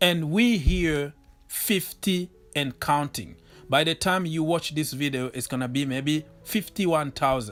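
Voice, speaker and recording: With music in the background, a man speaks in a French accent. He talks at a fairly slow pace with lively intonation. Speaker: football YouTuber. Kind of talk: thank-you message to viewers.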